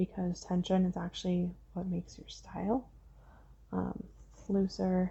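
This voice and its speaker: Soft-spoken and relaxed in tone, a woman talks at a fairly slow pace. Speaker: crochet tutorial creator. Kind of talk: casual crochet tutorial talk to camera, rambling tips. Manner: soft-spoken, rambling, relaxed.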